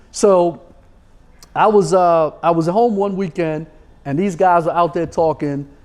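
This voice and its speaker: Speaking with a New York accent, a high-pitched man talks at a fairly slow pace with fairly even intonation and long, frequent pauses. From New York City. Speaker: sports agent. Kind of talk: podcast interview.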